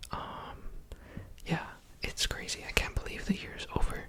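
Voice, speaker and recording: There is noticeable background noise while a man talks in a whisper. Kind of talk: ASMR year recap talk to camera. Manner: whispered, soft-spoken.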